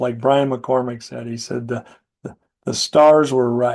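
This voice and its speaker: Using a normal speaking voice, a man with an American accent speaks at a fairly slow pace, medium pitch, and fairly even intonation. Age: 60s. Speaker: pigeon competition judge. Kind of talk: interview. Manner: casual, conversational with fillers.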